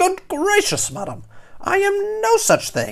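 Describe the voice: A woman puts on a character voice at an extremely high pitch, speaking slowly with vocal fry and very wide pitch swings.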